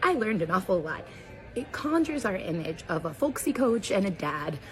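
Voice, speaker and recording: Her pitch swings very widely as a woman speaks at a moderate pace. There is noticeable background noise. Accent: American. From Central Ohio, US. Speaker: linguist. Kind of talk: educational explainer talk to camera.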